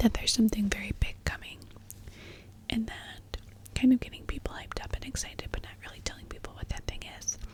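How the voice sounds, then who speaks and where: Whispering at a very fast pace with long, frequent pauses and big swings in loudness, a woman is heard over noticeable background noise. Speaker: ASMR content creator. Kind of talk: ASMR whisper ramble about influencer gossip. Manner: soft-spoken, whispering, conversational.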